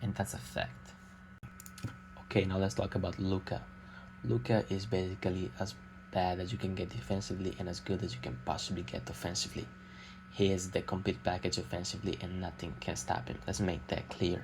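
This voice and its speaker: Using vocal fry, a man talks fairly quickly in a very deep, low pitch with lively intonation. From Italy. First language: Italian. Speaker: amateur basketball YouTuber. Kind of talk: unscripted opinion monologue. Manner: hesitant, many filler sounds.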